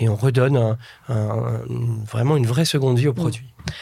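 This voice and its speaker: The voice is somewhat breathy and dark and mellow in tone, with fairly even intonation. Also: man. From France, Nièvre (Burgundy) village. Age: 40s. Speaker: entrepreneur and impact investor. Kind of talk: interview.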